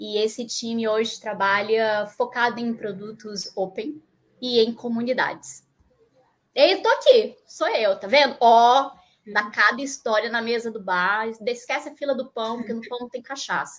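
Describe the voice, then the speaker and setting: The speech moves at a fairly slow pace, with big swings in loudness. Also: woman, fairly high pitch for a woman, ordinary pitch variation. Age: 40s. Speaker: tech community manager. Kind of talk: live stream interview. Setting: home office. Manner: animated.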